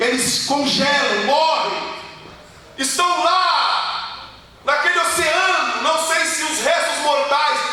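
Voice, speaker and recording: A raised, projected voice, very slow and fairly even in intonation, with audible room echo and noticeable background noise. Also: man. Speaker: pastor. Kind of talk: sermon.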